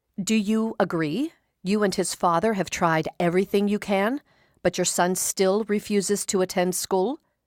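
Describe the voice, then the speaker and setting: Put-on character voice, female-sounding and shrill, at medium pitch in a stern tone and moderate pace, on a very clean recording with a silent background. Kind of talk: courtroom speech. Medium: read story. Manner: stern, curt, controlled.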